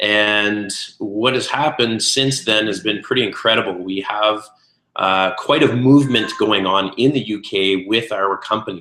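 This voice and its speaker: Using an unremarkable speaking voice, a man with a Canadian accent talks at a moderate pace and fairly low pitch with ordinary pitch variation. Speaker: network marketing consultant and restaurateur. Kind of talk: webinar presentation. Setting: online webinar call. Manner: many filler words (uh, um).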